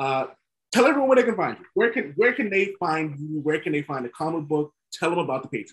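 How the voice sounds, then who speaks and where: A fairly high-pitched man with an American accent at a very fast pace, his pitch swinging very widely. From northern US. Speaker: podcast host. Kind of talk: casual chat.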